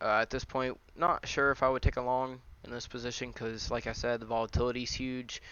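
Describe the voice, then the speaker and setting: A man talks at a fairly quick pace. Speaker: day trader doing market recaps. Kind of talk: screen-share market analysis. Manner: fast; casual with many fillers.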